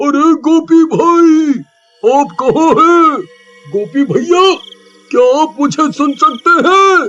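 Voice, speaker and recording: A man's cartoonish character voice at a very slow pace. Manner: urgent, excited.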